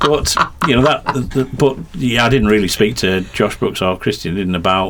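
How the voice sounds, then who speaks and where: Speaking with a slight Yorkshire accent, a man uses lively intonation at a moderate pace. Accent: slight Yorkshire twang. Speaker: motorsport commentator and team press officer. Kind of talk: podcast interview. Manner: halting, many fillers and repetitions.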